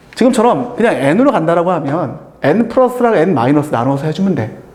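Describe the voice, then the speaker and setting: A man's high voice with very wide pitch swings at a fairly quick pace, amid noticeable background noise and audible room echo. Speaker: math tutor. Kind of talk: lecture. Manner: casual.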